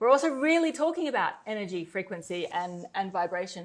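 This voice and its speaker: A woman speaks in an Australian accent at a fairly quick pace. The background is quiet. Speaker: network marketer. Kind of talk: sales pitch. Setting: webinar.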